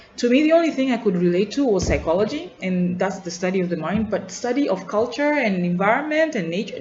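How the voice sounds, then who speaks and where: Talking at a very fast pace with hardly any pauses, a woman with a Tanzanian accent has a somewhat breathy voice at a medium pitch and very wide pitch swings. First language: Nyakyusa. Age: adult. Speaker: student vlogger. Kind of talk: personal video journal. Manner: reflective, halting with repetitions.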